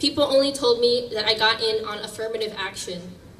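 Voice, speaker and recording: Through noticeable background noise and audible room echo, a woman speaks at a fairly quick pace with a fairly high pitch and ordinary pitch variation. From US Northeast. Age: 20s. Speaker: activist speaker. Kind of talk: public speech.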